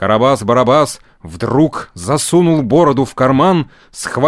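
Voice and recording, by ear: Someone is reading aloud in a natural voice, and the pitch moves in an ordinary way.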